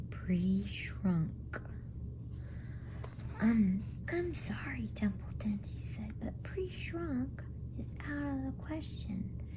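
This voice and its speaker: A woman at a very slow pace, with very wide pitch swings and noticeable background noise. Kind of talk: bedtime story reading. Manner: soft-spoken.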